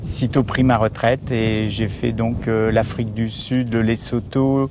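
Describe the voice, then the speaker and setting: A man speaks very slowly at a medium pitch. His intonation is monotone and flat, with noticeable background noise behind him. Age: 60s. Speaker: retired overland traveller. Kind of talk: casual interview. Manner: halting, many hesitations.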